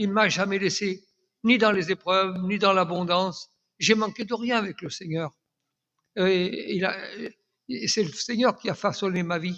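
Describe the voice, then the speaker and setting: Over a quiet background, a man speaks in a high pitch. He moves at a fairly slow pace with long, frequent pauses. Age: 80s+. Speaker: church elder giving testimony. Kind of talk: testimony. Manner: halting, repeats words.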